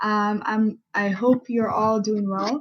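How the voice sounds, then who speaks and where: A woman's fairly high, somewhat breathy voice. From Middle East. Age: 20s. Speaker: workshop presenter. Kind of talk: virtual workshop presentation. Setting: virtual conference.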